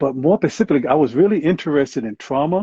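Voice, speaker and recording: A man with a Southern US accent talks fairly quickly, his intonation lively. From US South. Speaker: clinical psychologist and Marine veteran. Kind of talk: interview. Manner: hesitant, many fillers.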